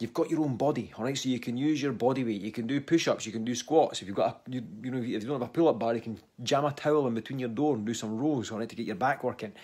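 Talking at a very fast pace with hardly any pauses, a man uses ordinary pitch variation. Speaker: fitness coach. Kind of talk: casual vlog chat. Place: home room. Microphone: phone near.

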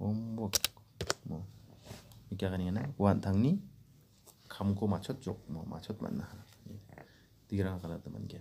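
The pace is fairly slow. Long, frequent pauses break up the speech. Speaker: language teacher. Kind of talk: tutorial.

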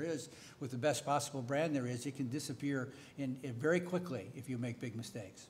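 Light background noise sits behind a man with an American accent. His voice is somewhat breathy and fairly high in pitch, with fairly even intonation. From United States. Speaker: veteran newspaper editor. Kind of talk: panel discussion. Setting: stage with audience. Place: hall. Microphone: podium.

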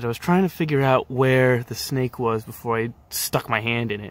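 With fairly even intonation, a man's voice comes through dry, with no echo. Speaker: nature video host. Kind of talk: casual nature commentary. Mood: calm, gentle. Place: garden. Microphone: phone near.

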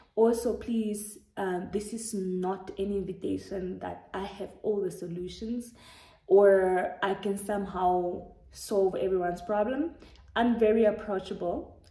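Against a quiet background with audible room echo, a woman speaks fairly slowly in a dark, mellow tone at medium pitch with fairly even intonation. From Namibia. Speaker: YouTuber. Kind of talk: casual vlog monologue. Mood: warm, earnest. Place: home room. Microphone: phone near.

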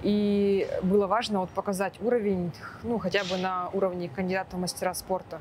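With a plain, everyday voice, a woman speaks at a moderate pace. Her pitch is medium and her intonation fairly even. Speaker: running coach. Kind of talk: interview.

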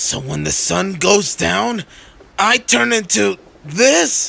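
The man puts on a character voice, fairly high in pitch and very slow. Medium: dub.

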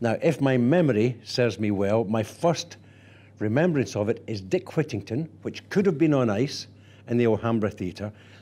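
A man speaks in a Scottish accent with a dark, mellow tone. His pace is moderate and his intonation lively. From Scotland. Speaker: actor and theatre director. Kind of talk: archive interview answer. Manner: warm, anecdotal, expressive. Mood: warm, nostalgic storytelling. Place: office. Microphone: lapel.

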